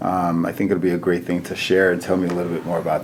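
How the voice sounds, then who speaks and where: Speech comes at a very fast pace with monotone, flat intonation, amid noticeable background noise and audible room echo. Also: man. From Nigeria, raised in US. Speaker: physician, chief medical officer. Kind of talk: casual interview chat.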